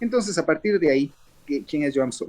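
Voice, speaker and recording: Dry and close with no echo, a man's fairly high voice moves with lively intonation. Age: 60s. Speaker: theatre director and actor. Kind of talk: interview. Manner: hesitant, many fillers.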